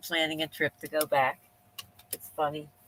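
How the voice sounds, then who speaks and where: Someone with a Pennsylvania accent talks at a moderate pace in a bright, sharp tone, the sound dry and close with no echo. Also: woman. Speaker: live streamer. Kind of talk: casual live stream chat. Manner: rambling, thinking out loud.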